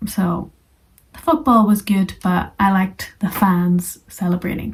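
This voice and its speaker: Somewhat breathy, a woman at medium pitch speaks at a fairly slow pace. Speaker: English teacher. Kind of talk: tutorial.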